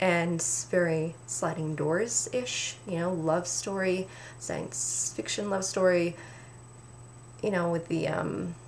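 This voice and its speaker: A woman's very slow, fairly low-pitched speech in a Canadian accent, with lively intonation, long, frequent pauses and noticeable background noise. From Canada. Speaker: book reviewer. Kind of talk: casual talk to camera.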